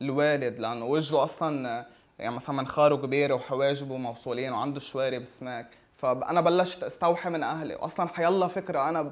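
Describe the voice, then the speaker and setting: Male speech, moderately paced, its pitch varying in an ordinary way. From Lebanon. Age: 20s. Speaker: caricaturist. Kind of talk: interview; interview answer. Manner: halting, with many fillers. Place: home room. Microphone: lapel.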